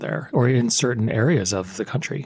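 Speaking at a fairly quick pace in a medium pitch, a man with an American accent sounds somewhat breathy. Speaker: podcast host, professor. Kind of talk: interview.

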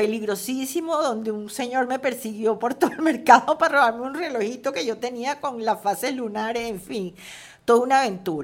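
A woman's high-pitched voice with lively intonation over noticeable background noise. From Venezuela, Caracas. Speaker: screenwriter and novelist. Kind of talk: interview. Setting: at her home.

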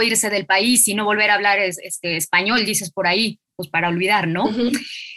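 A woman with a Mexican accent speaks at a fairly quick pace and medium pitch, with a bright, sharp tone and ordinary pitch variation. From Mexico, Mexico City. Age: 30s. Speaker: literary podcast host. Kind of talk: interview conversation.

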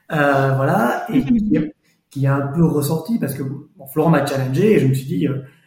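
A man talks with a fairly high pitch and ordinary pitch variation. His pace is moderate, and audible room echo surrounds him. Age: 40s. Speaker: lawyer. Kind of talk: testimony.

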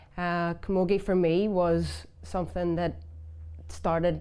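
Audible room echo surrounds a woman speaking in a Belfast accent. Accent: Belfast Northern Irish. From West Belfast, Northern Ireland. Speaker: former camogie player. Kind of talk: interview.

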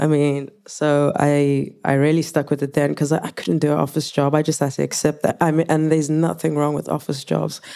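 A woman with a Zulu accent speaks at a fairly quick pace with hardly any pauses, her very deep, low pitch carrying a dark, mellow tone and monotone, flat intonation. The recording is very clean, with a silent background. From South Africa. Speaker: music producer and performer. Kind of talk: panel discussion.

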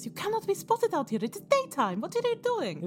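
An extremely high, put-on character voice plays over clear music in the background. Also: fairly quick pace. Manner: urgent, scolding.

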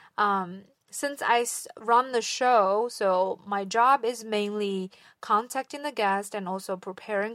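Very slowly, a woman speaks at medium pitch with fairly even intonation in a Chinese accent. The recording is very clean, with a silent background. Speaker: podcast host. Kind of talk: solo podcast monologue. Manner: somewhat halting, with fillers.

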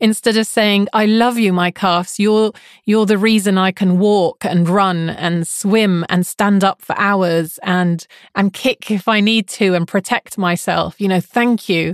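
In a normal speaking voice, a woman talks at medium pitch and a fairly slow pace, with fairly even intonation and very even loudness. The sound is dry and close with no echo, over a quiet background. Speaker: life coach and podcast host. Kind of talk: interview, conversational.

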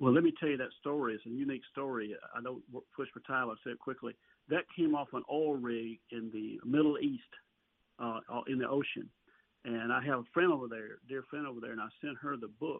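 A man speaks in a Southern US accent. His intonation is fairly even. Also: medium pitch for a man, fairly quick pace. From Alabama. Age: 60s. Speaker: songwriter and author. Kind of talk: interview.

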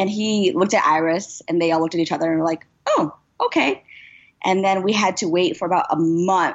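Very even in loudness, the woman's voice sits at a fairly low pitch. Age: 20s. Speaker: actress. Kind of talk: interview. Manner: animated.

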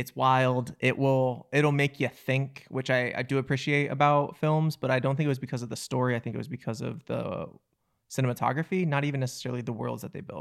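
A man with a plain, everyday voice speaks at medium pitch and a fairly quick pace, his intonation fairly even. The recording is very clean with a silent background. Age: 30s. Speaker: filmmaker and actor, podcast co-host. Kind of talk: casual chat.

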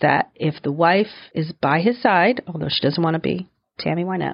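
A woman talks in an unremarkable speaking voice at a moderate pace. Her pitch is fairly low, with ordinary variation. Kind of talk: casual chat.

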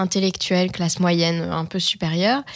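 A woman at a fairly slow pace. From France. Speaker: journalist and actress. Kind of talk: testimony. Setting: studio. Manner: hesitant, frequent fillers.

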